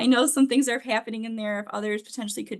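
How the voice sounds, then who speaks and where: The speaker is a woman. Little else is heard, as the background stays quiet. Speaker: financial aid adviser. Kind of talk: webinar presentation. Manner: fast.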